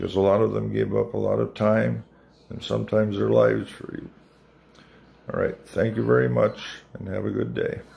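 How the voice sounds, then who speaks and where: A man at a fairly quick pace, broken by long, frequent pauses. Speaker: Army veteran, former medic. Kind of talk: recorded video message. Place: home room. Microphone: phone near.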